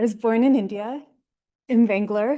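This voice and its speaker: Over a quiet background, a woman with a dark, mellow tone speaks at a fairly quick pace with fairly even intonation. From US East Coast, Baltimore, Maryland. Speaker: Ayurveda teacher. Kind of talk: lecture. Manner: hesitant, many fillers.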